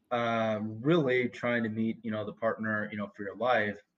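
A man talks at a moderate pace with a medium pitch. He has an American accent. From split between US South and New York. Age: 30s. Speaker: reality TV dating show star. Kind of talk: casual chat. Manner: halting, many fillers and repetitions.

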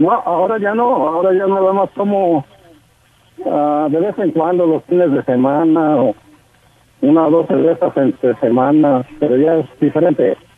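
A man with fairly high pitch speaks at a moderate pace with lively intonation and very even loudness. Noticeable background noise runs behind him. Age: 40s. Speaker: caller. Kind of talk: phone-in call. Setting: phone call.

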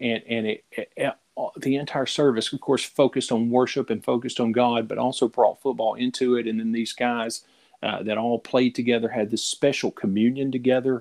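This man has a Southern US accent and a medium pitch, speaking at a fairly quick pace in a monotone, flat intonation, with a dry, close sound and no echo. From Middle Tennessee, US. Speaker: podcast co-host. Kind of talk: casual chat.

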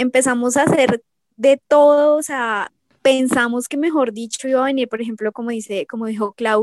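Ordinary pitch variation at a moderate pace, in a dry, close sound with no echo. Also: woman. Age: 20s. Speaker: K-pop fan. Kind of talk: casual interview.

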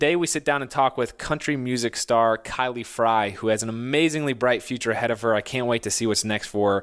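In a plain, everyday voice, a man of medium pitch speaks at a fairly quick pace with hardly any pauses and ordinary pitch variation. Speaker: podcast host. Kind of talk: casual interview chat. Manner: friendly, upbeat, laughs often.

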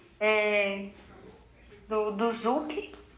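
A woman's fairly high voice, with audible room echo and noticeable background noise. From Brazil, Paraná (Jacarezinho). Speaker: ballroom dance teacher and DJ. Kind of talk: casual chat.

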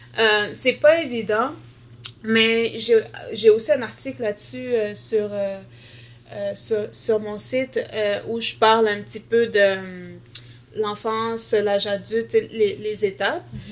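A woman with a fairly high pitch speaks at a very slow pace with long, frequent pauses, ordinary pitch variation and big swings in loudness. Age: 20s. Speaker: nursing student with sickle cell disease, blogger. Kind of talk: interview testimony.

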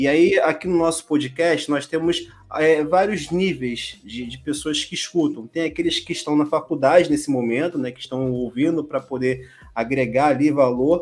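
A man with a fairly high pitch and ordinary pitch variation speaks at a moderate pace, his loudness swinging widely. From Brazil. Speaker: podcast host. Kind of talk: casual interview. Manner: hesitant, filler-heavy.

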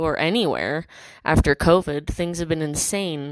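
A woman with a fairly low voice talks at a fairly quick pace. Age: 20s. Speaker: podcaster. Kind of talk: casual monologue. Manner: rambling, filler-heavy.

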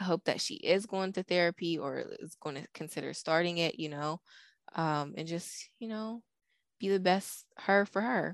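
Over a very clean, silent background with a dry, close sound and no echo, a woman with an American accent talks at a moderate pace in an ordinary speaking voice, her fairly low pitch showing ordinary variation and her loudness swinging widely. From northern US. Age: 30s. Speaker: podcast co-host. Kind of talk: casual chat.

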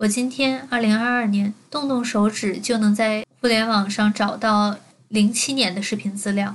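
A woman talks at a fairly slow pace with a somewhat breathy, fairly high voice and fairly even intonation. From Beijing and Jiangsu. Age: 20s. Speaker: podcaster. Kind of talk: personal monologue.

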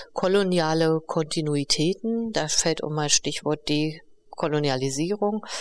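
Her voice sits very deep and low for a woman, moving at a fairly slow pace with hardly any pauses. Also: ordinary pitch variation. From East Berlin, Germany. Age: 50s. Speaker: co-founder and director of a feminist project. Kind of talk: interview conversation. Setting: on location at the project.

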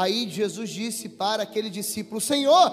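A man's animated tone at a moderate pace over noticeable background noise. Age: 20s. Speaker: preacher. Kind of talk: sermon.

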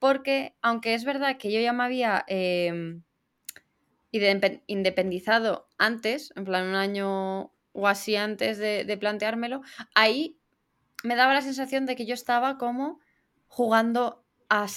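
In a very clean recording with a silent background, a woman talks at a fairly slow pace. She has an ordinary speaking voice, fairly high in pitch, with ordinary pitch variation. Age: 20s. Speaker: podcast co-host. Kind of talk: casual chat.

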